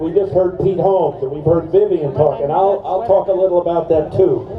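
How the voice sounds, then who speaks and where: Over noticeable background noise and audible room echo, a man talks at a moderate pace with a high pitch. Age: 70s. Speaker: attorney and activist. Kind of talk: rally speech.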